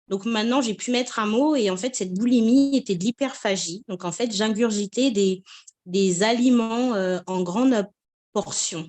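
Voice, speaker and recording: This woman's voice is fairly high, moving at a fairly slow pace with ordinary pitch variation. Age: 30s. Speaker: patient giving a testimonial. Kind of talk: testimony. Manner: hesitant, many fillers.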